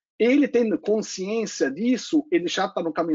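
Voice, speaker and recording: A man speaks in a high pitch. His voice swings very widely in pitch. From Lake Constance region, German-speaking Europe. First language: German (speaking Portuguese). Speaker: solar company executive. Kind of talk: panel discussion.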